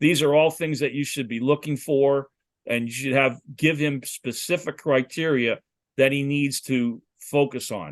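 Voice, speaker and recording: A man with an unremarkable speaking voice talks at a fairly slow pace in a fairly high pitch, his intonation fairly even, the sound dry and close with no echo against a quiet background. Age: 60s. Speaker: football quarterback coach. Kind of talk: lecture.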